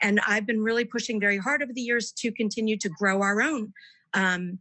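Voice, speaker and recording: A woman speaks with ordinary pitch variation. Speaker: board of education candidate. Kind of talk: candidate forum answer. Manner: fast.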